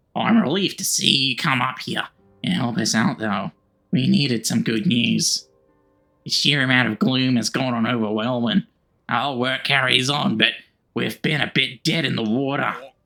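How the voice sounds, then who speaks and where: A man's raspy put-on character voice at medium pitch, moderate pace and lively intonation, over background music. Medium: game stream. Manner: earnest, dutiful.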